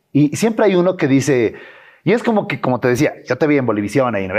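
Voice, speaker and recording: Vocal fry runs through a man's speech. The pitch of his voice swings very widely. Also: quiet background. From Bolivia, Beni. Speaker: influencer and content creator; influencer, content creator. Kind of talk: interview. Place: studio. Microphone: lapel.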